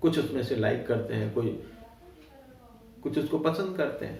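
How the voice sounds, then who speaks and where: A man speaks with lively intonation in an Awadh accent. Audible room echo and noticeable background noise surround him. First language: Awadhi (speaking Hindi). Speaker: writer. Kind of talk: interview. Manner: hesitant with frequent fillers.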